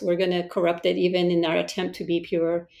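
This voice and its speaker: A woman's voice at medium pitch. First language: not English. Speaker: podcast host. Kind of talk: casual interview.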